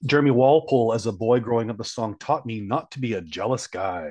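At a fairly quick pace, a man with a Canadian accent speaks in a normal speaking voice at medium pitch with ordinary pitch variation. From Canada. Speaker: podcast co-host. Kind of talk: casual chat. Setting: hotel room.

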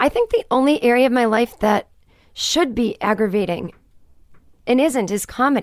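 A woman's high voice with ordinary pitch variation, very even loudness, and long, frequent pauses, dry and close with no echo. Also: moderate pace. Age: 30s. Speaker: comedian and author. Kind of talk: casual chat.

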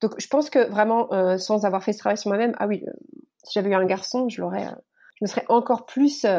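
Fairly high in pitch, a woman speaks. Her tone is dark and mellow. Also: quiet background. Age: 30s. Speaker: author and teacher. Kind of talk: interview. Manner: halting, many repetitions and fillers.

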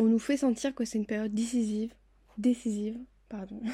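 The woman has a fairly high, somewhat breathy voice with a dark, mellow tone. Her intonation is monotone and flat. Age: 20s. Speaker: podcast host. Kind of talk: personal monologue.

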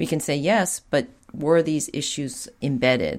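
A woman with a very deep, low pitch speaks with an American accent. The recording is very clean, with a silent background. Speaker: podcast host and psychoanalyst. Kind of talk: casual interview conversation.

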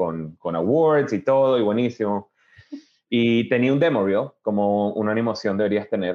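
The man's pitch is fairly low, with ordinary variation. He keeps a moderate pace. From Venezuela (Caracas), then Miami from age 10-11. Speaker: animation director. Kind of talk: interview. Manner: hesitant, many fillers and repetitions.

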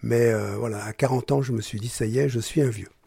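A man talks at a moderate pace and a medium pitch with ordinary variation. His tone is dark and mellow, and somewhat breathy. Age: 70s. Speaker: journalist and writer. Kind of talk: personal testimony.

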